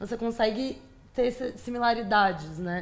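Using a plain, everyday voice, a woman talks at a moderate pace with fairly even intonation. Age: 20s. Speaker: architecture student. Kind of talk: casual interview.

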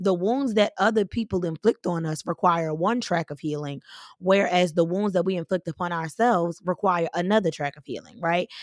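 An unremarkable speaking voice from a woman, fairly low in pitch with ordinary pitch variation and big swings in loudness, at a moderate pace, in a dry, close sound with no echo and a very clean recording over a silent background. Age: 30s. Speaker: podcast host and preacher. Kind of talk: motivational faith talk.

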